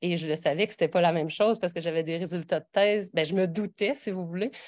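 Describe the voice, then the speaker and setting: With a Quebec accent, a woman speaks in a fairly low voice and fairly even intonation on a very clean recording with a silent background. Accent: regional Quebec French. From Quebec (a region outside Montreal). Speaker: professor. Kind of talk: lecture. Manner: halting, many fillers and restarts.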